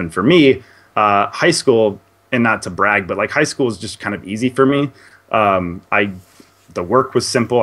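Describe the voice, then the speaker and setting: The speaker has a normal speaking voice with lively intonation. The pace is moderate. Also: man. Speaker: indie game reviewer. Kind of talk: interview answer. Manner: chatty.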